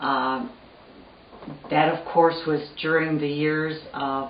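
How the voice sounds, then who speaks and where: A woman speaks in a very deep, low pitch with monotone, flat intonation at a very slow pace. There is noticeable background noise and audible room echo. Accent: American. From US Midwest (Missouri, then Pontiac, Michigan). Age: 70s. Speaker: family elder interviewee. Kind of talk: oral history interview.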